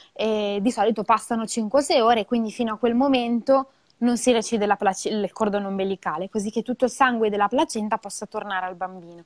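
A woman's fairly high voice at a fairly quick pace over a quiet background. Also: ordinary pitch variation. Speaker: midwife; guest. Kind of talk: educational live talk. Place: home room. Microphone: earbuds.

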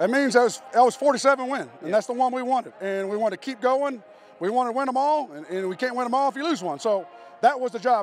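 With music in the background, a man with an extremely high pitch and ordinary pitch variation speaks at a very fast pace in a dry sound with no echo. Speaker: high school football coach. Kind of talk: post-game interview. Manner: casual, conversational. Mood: pleased after a win. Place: stadium. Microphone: handheld.

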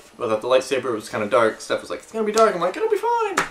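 There is noticeable background noise while a man speaks. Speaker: video blogger. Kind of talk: casual vlog chat. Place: home room. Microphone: camera far.

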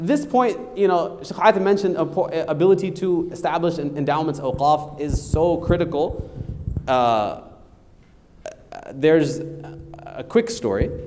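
A man speaks loudly in an American accent, his pitch high and his intonation lively. The pace is fairly slow, and there is light background noise. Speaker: lawyer and lecturer; lawyer, lecturer. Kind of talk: lecture. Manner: animated. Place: hall.

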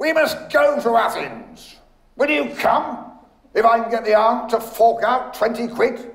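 In a put-on character voice, a man talks fairly slowly at an extremely high pitch, with a fairly bright tone, lively intonation and audible room echo.

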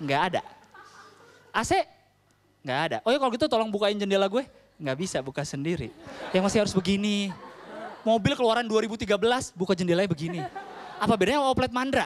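Over light background noise, a man talks at a very fast pace. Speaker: stand-up comedian. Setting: stage with audience. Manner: casual Jakarta-style slang, conversational and quick. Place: stage. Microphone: handheld.

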